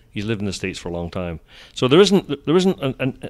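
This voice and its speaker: Recorded very cleanly with a silent background and a dry, close sound with no echo, a man with a Scottish accent speaks very fast at a medium pitch with very wide pitch swings. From Scotland. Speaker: golf journalist. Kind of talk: casual interview.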